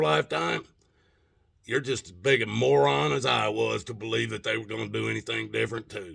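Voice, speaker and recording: Using vocal fry, a man talks at a fairly quick pace with very wide pitch swings. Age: 60s. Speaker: political commentator. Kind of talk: rant. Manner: animated.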